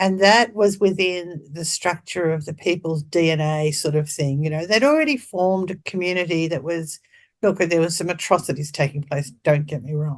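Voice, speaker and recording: A woman with an Australian accent talks at a moderate pace in a fairly low voice, her pitch varying in an ordinary way, with hardly any pauses and a quiet background. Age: 70s. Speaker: birth and death doula. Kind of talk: interview. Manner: animated.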